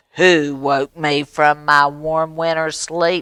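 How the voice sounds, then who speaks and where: Growling in a put-on character voice, a man speaks very slowly in a fairly high pitch with monotone, flat intonation. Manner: snarling, grumpy.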